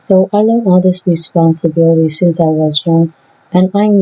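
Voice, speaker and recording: A woman talks with a fairly low pitch at a fairly slow pace. Her intonation is monotone and flat. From Vietnamese family background. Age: 30s. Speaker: vlogger. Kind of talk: opinion vlog monologue.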